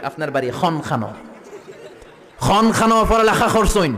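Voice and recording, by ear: A man puts on a breathy, high-pitched character voice at a moderate pace. Echo is audible.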